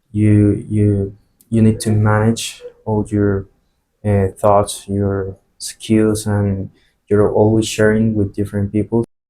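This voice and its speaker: A man with a Spanish accent, fairly low-pitched, dark and mellow in tone, at a very slow pace with monotone, flat intonation. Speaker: flight attendant. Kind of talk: interview. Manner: halting, many fillers and repetitions.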